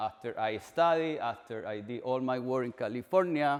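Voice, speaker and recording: With a strong Chilean accent, a man speaks using ordinary pitch variation. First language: Spanish. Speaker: agricultural extension researcher. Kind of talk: presentation. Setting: orchard walk event.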